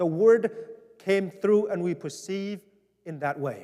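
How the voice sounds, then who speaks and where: Lively intonation marks this man's high-pitched voice. He speaks at a fairly slow pace. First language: Vietnamese. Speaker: pastor. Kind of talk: town hall address. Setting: church.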